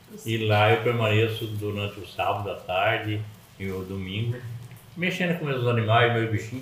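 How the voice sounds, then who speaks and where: Noticeable background noise and audible room echo surround a man who speaks at a medium pitch and a fairly slow pace. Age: 70s. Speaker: podcast guest, grandfather. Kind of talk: casual chat.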